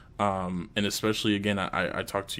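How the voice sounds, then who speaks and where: This man's pitch sits fairly low. He speaks at a fairly quick pace. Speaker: gaming podcast co-host. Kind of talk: casual chat. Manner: fast; animated.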